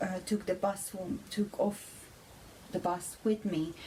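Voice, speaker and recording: Noticeable background noise accompanies a woman with a Hungarian accent who speaks fairly slowly at a medium pitch in a flat monotone. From Hungary. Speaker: vlogger. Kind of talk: personal testimony. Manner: halting.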